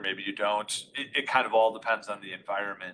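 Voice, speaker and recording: Bright and sharp in tone, a man's voice moves along at a fairly quick pace. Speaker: audio conferencing expert. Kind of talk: technical webinar demonstration. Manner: loud.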